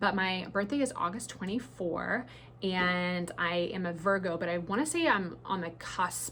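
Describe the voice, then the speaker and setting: In an American accent, a woman speaks at a fairly low pitch with ordinary pitch variation. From New Zealand. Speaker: beauty brand founder. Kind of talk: casual Q&A to camera. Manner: casual, many fillers and repetitions.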